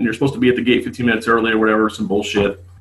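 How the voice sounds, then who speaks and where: With an American accent, a man speaks in a somewhat breathy voice. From Las Vegas, US West. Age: 30s. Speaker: drag racer. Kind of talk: casual chat.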